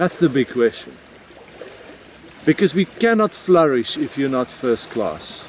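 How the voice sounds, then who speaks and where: Amid noticeable background noise, a man with a South African accent speaks at a fairly slow pace and fairly high pitch, with lively intonation and long, frequent pauses. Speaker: video blogger. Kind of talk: personal reflection monologue.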